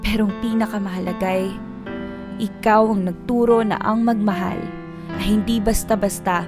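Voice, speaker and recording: Music plays behind a woman speaking at a moderate pace and medium pitch in a monotone, flat intonation. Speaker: spoken word performer. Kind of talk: spoken word poetry performance.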